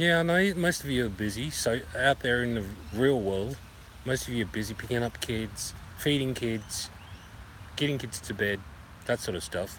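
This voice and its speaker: At a moderate pace, a man of medium pitch speaks with lively intonation. He leaves long, frequent pauses. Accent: Australian. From Australia. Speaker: vlogger. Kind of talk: live stream chat. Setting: outdoors in a park. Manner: casual, repetitive.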